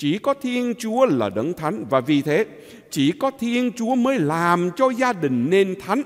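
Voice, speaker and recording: A man speaks at a very slow pace in a high pitch with very wide swings. The background is quiet. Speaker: priest. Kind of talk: homily. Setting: church. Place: church.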